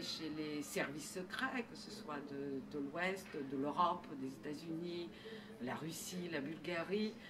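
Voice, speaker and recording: Speaking at a very slow pace with a slight non-native accent, a woman has a fairly low pitch, and the recording carries noticeable background noise and audible room echo. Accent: slight foreign. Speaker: novelist. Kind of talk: interview. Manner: halting, many hesitations.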